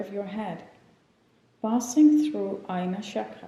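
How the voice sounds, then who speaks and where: In an unremarkable speaking voice, the delivery runs at a fairly slow pace with ordinary pitch variation. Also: woman. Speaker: yoga teacher. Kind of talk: guided meditation. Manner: slow, calm.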